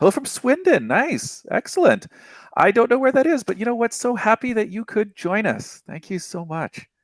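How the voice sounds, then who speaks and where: A man with a North American accent and a high pitch makes very wide pitch swings, recorded in a dry, close sound with no echo and a quiet background. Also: moderate pace. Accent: generic North American. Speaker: developer relations manager and webinar host. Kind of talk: live webinar presentation. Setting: live online webinar.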